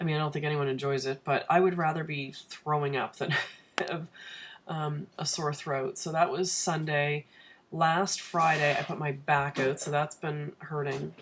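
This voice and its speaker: A woman talks at a moderate pace in a very deep, low voice that is somewhat breathy. Her intonation is monotone and flat. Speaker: vlogger. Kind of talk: casual chat. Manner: quiet.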